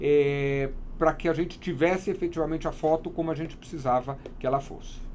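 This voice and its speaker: A man with a fairly high voice and fairly even intonation talks fairly quickly, with noticeable background noise around him. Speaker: wedding photographer. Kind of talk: interview.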